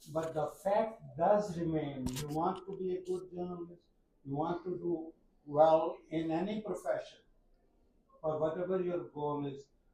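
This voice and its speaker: A man speaks at a fairly slow pace in a high pitch, with fairly even intonation. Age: 80s+. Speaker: journalist. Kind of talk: workshop panel talk. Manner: halting.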